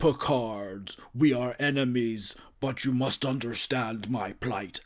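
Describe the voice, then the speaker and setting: At a fairly slow pace, a man does a put-on character voice at a medium pitch. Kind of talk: formal, theatrical. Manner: stiff, overly dramatic.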